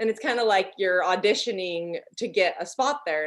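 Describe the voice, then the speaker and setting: American-accented speech from a woman, quiet background. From Utah. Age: 30s. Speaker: podcast co-host. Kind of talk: casual chat. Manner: animated.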